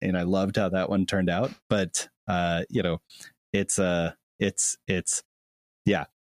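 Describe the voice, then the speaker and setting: A man with an ordinary speaking voice and a fairly low pitch talks at a fairly slow pace in a very clean recording with a silent background. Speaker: YouTube creator and guest. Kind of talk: casual interview chat. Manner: friendly, self-deprecating.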